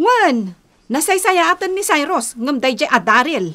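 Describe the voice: In a put-on character voice, the speaker goes at a fairly slow pace with big pitch swings and a fairly bright tone. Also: woman, high pitch for a woman.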